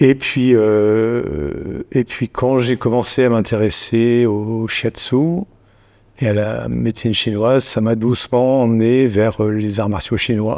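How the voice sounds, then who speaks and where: A man's medium-pitched voice, dark and mellow in tone, at a very slow pace with ordinary pitch variation and a quiet background. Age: 50s. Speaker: shiatsu practitioner and tai chi student. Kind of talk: casual chat.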